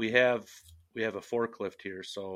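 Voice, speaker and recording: A man's bright, sharp voice carries fairly even intonation. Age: 40s. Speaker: roof framing carpenter. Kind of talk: interview.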